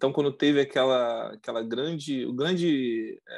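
A man with a plain, everyday voice, fairly high in pitch, with ordinary pitch variation. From Brazil, coastal region. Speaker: former oil industry worker, immigrant. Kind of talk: casual interview. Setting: video call.

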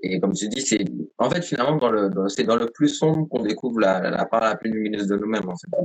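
Over noticeable background noise, a man at a medium pitch talks at a very fast pace with lively intonation. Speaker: podcast host. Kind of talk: interview. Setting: live stream.

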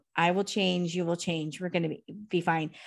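A woman with a plain, everyday voice speaks at a fairly low pitch and a moderate pace on a very clean recording with a silent background. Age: 50s. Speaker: author and blogger. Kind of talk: casual chat.

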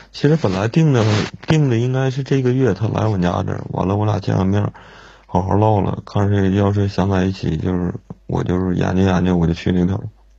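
Ordinary pitch variation at a fairly quick pace. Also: man, fairly low pitch for a man. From Inner Mongolia. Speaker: caller seeking relationship advice. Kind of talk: call-in advice chat. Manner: halting.

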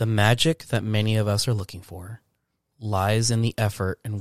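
A man talks at a moderate pace in a plain, everyday voice, pitched fairly low. The recording is very clean with a silent background and a dry, close sound with no echo. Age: 20s. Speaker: podcast co-host. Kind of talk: casual chat.

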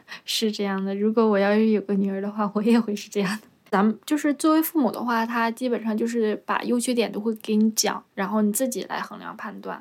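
An ordinary speaking voice, a woman's, at a fairly high pitch with fairly even intonation. She speaks at a fairly quick pace with hardly any pauses, in a very clean recording with a silent background. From Northeast China, Jilin province. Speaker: street vendor and podcast host. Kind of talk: casual interview chat.

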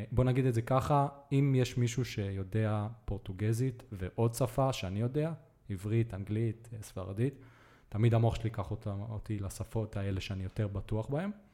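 Speaking at a moderate pace, a man has a fairly low voice with a dark, mellow tone, some breathiness and ordinary pitch variation. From Israel (Netanya). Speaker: podcast host. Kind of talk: casual interview chat.

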